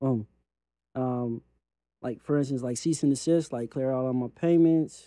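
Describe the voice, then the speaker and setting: With a Californian accent, a man of medium pitch and dark, mellow tone speaks at a moderate pace with long, frequent pauses, the sound dry and close with no echo. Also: fairly even intonation. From California, Compton. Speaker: credit repair software founder. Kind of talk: software walkthrough and interview. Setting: studio with camera.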